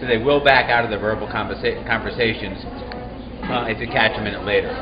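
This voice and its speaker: Noticeable background noise and audible room echo fill the recording. A man talks through it at a fairly quick pace. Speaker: real estate investing coach. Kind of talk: Q&A video answering viewer questions. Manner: loud; fast.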